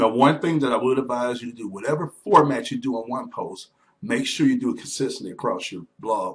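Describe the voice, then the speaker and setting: A man speaks at a fairly quick pace. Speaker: online business trainer; blogger teaching blogging. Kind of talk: screen-share tutorial. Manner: fast; casual, halting with fillers. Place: home room. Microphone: webcam.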